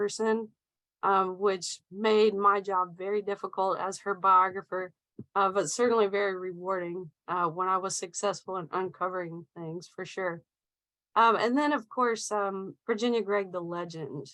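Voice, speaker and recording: A woman with a Southern US accent speaks at medium pitch and a moderate pace in a bright, sharp tone. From US South, Middle Tennessee. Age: 30s. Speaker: author and researcher. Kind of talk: presentation talk. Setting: video call.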